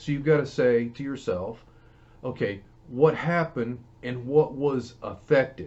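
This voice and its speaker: With a Southern US accent, a man talks fairly slowly. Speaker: Bible teacher. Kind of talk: Bible teaching. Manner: conversational.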